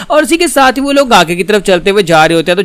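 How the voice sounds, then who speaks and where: There is music in the background as a man talks with ordinary pitch variation. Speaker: comic explainer. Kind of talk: comic recap narration. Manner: casual, chatty.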